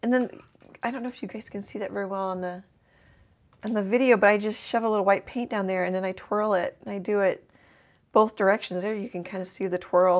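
A woman with a medium pitch races along at a very fast pace with ordinary pitch variation. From US Midwest, Lincoln, Nebraska. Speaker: art instructor. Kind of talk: painting tutorial livestream. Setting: home art studio, livestream. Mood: friendly relaxed. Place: studio.

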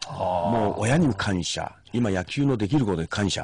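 A man talks with lively intonation in a dry recording that has no echo. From Shimane, Japan. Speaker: former high school baseball coach, education commentator. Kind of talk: radio interview. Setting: radio studio. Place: studio. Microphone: studio mic.

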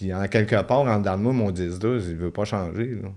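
A man with a Quebec accent, fairly low in pitch with ordinary variation, at a fairly quick pace against a quiet background. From Quebec (La Tuque). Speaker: former inmate; podcast guest. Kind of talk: testimony. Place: studio. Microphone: studio mic.

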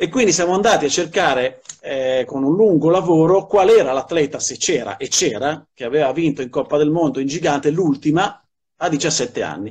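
This man has an unremarkable speaking voice, pitched fairly high. He talks at a fairly quick pace with ordinary pitch variation. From Milan. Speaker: sports journalist and commentator. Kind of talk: interview answer. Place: home room. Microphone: video call.

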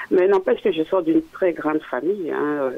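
A man talks at a moderate speed, with noticeable noise behind him. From Africa. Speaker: caller. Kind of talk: call-in. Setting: phone call.

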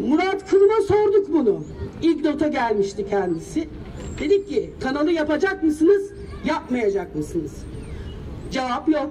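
Over light background noise, a woman with a high pitch talks at a fairly slow pace, her pitch swinging very widely, with long, frequent pauses. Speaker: local resident affected by the project. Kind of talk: rally speech. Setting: outdoors at a protest. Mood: earnest, aggrieved. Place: street. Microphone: handheld.

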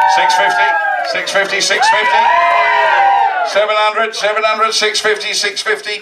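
Fairly slow male speech under heavy background noise. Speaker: charity auctioneer. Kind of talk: live charity auction calling. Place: hall. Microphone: handheld.

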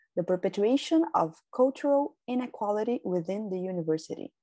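Against a quiet background, a woman in a Brazilian Portuguese accent speaks at a moderate pace in a dark, mellow tone with very wide pitch swings. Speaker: doctoral researcher. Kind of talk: conference presentation, read from script. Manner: formal. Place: home room. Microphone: webcam.

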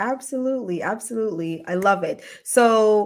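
A woman talks at a fairly slow pace with ordinary pitch variation against a quiet background. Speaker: ER physician and show host; show host. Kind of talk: livestream interview. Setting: livestream video. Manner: animated. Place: home room. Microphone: earbuds.

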